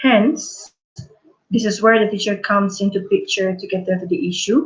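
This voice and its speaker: A somewhat breathy voice at a moderate pace. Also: woman. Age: 20s. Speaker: primary school teacher. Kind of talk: conference presentation. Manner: formal; halting.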